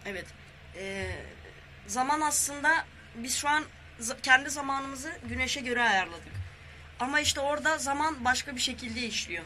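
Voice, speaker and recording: Using a raised, projected voice at an extremely high pitch, a man speaks at a moderate pace with ordinary pitch variation and long, frequent pauses. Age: 20s. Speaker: guest. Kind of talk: casual chat.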